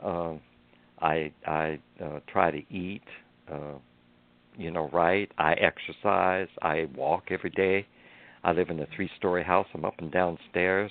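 Very deep and low, a man's voice moves at a fairly slow pace. His intonation is monotone and flat, with long, frequent pauses. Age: 80s+. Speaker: author and nurse, lung cancer survivor. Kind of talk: radio interview.

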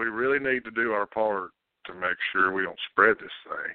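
Fairly slow speech from a man with a Kentucky accent, fairly low in pitch with fairly even intonation. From Kentucky, Montgomery County. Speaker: sports radio host. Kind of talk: casual chat.

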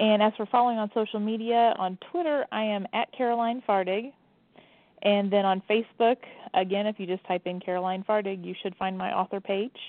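A woman with an American accent has an unremarkable speaking voice at a medium pitch. She talks at a fairly quick pace with ordinary pitch variation. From Indiana, Evansville area. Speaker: mystery author. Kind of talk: radio interview.

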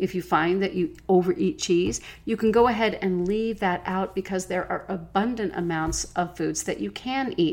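Her pitch is medium for a woman, and she has an unremarkable speaking voice, moving at a moderate pace with ordinary pitch variation and hardly any pauses. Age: 50s. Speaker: podcast host and nutrition coach. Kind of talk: solo podcast monologue.

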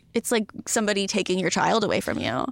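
In a very clean recording with a silent background and a dry, close sound with no echo, a woman with an American accent speaks with vocal fry and fairly even intonation. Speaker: comedian and TV writer-producer. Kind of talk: casual chat.

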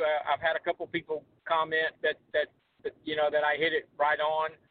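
At a moderate pace, a man talks in an unremarkable speaking voice with a fairly high pitch. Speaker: sports journalist. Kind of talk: casual chat.

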